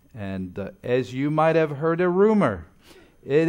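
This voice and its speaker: A man with a slight French accent speaks at a fairly slow pace. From French-speaking Switzerland. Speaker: guest preacher. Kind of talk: sermon. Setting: church. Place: church. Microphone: lapel.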